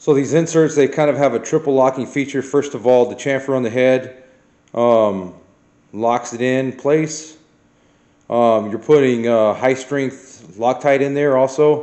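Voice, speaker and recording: In a normal speaking voice, a man talks at a fairly slow pace with a medium pitch and fairly even intonation. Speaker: car restoration youtuber. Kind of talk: tutorial. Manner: casual.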